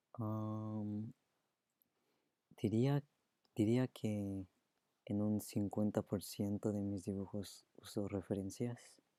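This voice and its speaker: A man with a Spanish accent speaks very slowly in a fairly low, dark, mellow voice, flat and monotone, with long, frequent pauses. The sound is dry and close with no echo, on a very clean recording with a silent background. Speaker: streamer and artist. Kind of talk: live stream Q&A. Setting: live stream.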